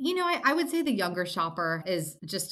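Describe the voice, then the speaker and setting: The woman has an American accent and a bright, sharp tone. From US Mid-Atlantic (Maryland). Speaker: company cofounder and CEO. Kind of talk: casual interview.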